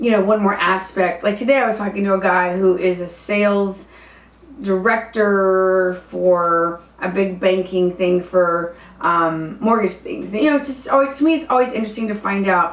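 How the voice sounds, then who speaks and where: This woman talks at a moderate pace with an American accent, her pitch medium and its variation ordinary. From US South. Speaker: dating coach and stand-up comedian. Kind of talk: casual vlog storytelling. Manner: hesitant, many fillers.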